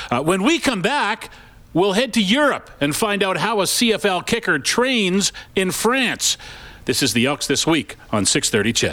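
A man with a high pitch and a bright, sharp tone projects a raised voice at a fairly slow pace. His pitch swings very widely while his loudness stays very even. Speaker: sports radio host. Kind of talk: radio show. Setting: studio.

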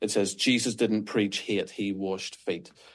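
A man speaks with a Northern Irish accent at a moderate pace. The background is quiet. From Northern Ireland. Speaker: pastor. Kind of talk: interview. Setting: remote call.

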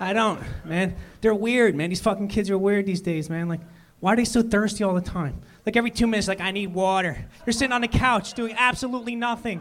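Speaking at a very fast pace, a man uses a high pitch with ordinary pitch variation on a very clean recording with a silent background. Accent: Philadelphia. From Philadelphia. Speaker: comedian. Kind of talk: stand-up. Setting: stage with audience.

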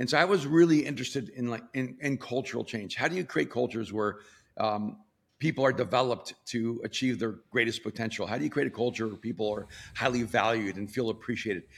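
A man with a Spanish accent talks at a very fast pace, his medium-pitched voice showing ordinary pitch variation on a very clean recording with a silent background. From El Salvador. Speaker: pastor. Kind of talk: casual chat.

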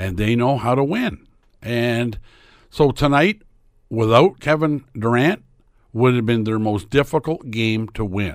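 A man's unremarkable speaking voice in a Canadian accent, medium in pitch, with ordinary pitch variation and a fairly slow pace. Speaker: sports commentator and realtor. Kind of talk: casual chat.

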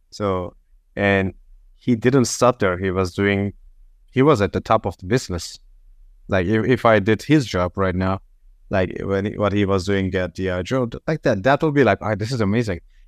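In a Turkish accent, a man talks at a moderate pace and a fairly low pitch. The recording is very clean, with a silent background. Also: ordinary pitch variation, dry, close sound with no echo. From Turkey. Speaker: whisky specialist. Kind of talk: casual chat.

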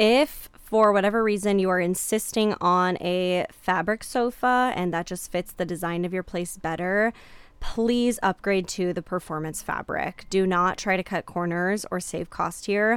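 A woman's plain, everyday voice at medium pitch, fairly slow pace and fairly even intonation, with hardly any pauses, in a very clean recording with a silent background. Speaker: podcast host. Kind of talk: pep talk. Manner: warm, encouraging; earnest, reassuring.

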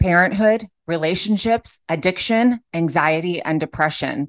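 Against a quiet background, a woman with a normal speaking voice talks at a moderate pace, her fairly low pitch showing ordinary pitch variation. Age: 40s. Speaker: podcast host. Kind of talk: casual interview chat.

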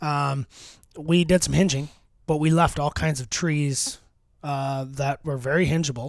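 A man's fairly high, fairly evenly inflected voice at a fairly slow pace, with long, frequent pauses, on a very clean recording with a silent background. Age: 30s. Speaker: deer hunter and land manager. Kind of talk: casual chat. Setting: outdoors on location. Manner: halting, many fillers.

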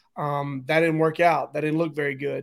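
This man has a fairly high pitch and a monotone, flat intonation, speaking at a moderate pace on a very clean recording with a silent background. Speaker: sports podcast co-host. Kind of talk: casual sports talk.

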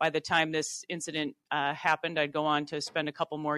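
The tone is bright and sharp, with fairly even intonation and an American accent. The sound is dry and close, with no echo. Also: woman, quiet background. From Minnesota, US Midwest. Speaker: TV journalist and author. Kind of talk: interview. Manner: halting, many fillers.

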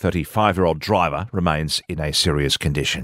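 A man with an energetic tone, on a very clean recording against a silent background. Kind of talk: news reading. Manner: crisp, brisk, formal broadcast delivery with steady, even pacing; measured and authoritative, energetic on sport headlines.

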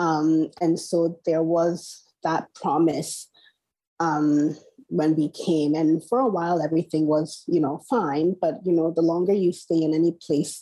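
In a Nigerian accent, the speaker talks at a fairly slow pace with fairly even intonation and a dark, mellow tone over a quiet background. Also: woman, fairly low pitch for a woman, very even loudness. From Nigeria, Port Harcourt. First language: Igbo. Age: 40s. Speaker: novelist. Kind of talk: interview. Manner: hesitant, many fillers.

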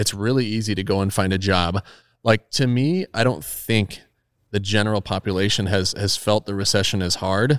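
In a very clean, dry, close recording with no echo and a silent background, a man with an unremarkable speaking voice talks at a moderate pace, fairly low in pitch, with fairly even intonation. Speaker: car collector and YouTube creator. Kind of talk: casual interview. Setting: guest's car storage building.

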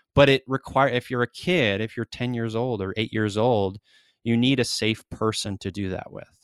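A man with a normal speaking voice talks at medium pitch and a moderate pace, with ordinary pitch variation. The recording is very clean, with a silent background. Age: 40s. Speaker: mental health advocate and writer. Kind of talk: interview conversation.

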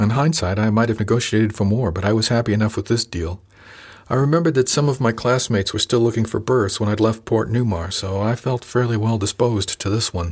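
A man speaks with a somewhat breathy quality. His words come very fast. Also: medium pitch for a man, ordinary pitch variation. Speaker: audiobook narrator. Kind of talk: dramatic first-person audiobook narration, reading aloud. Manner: measured, storytelling pace with expressive character voices; formal, polished.

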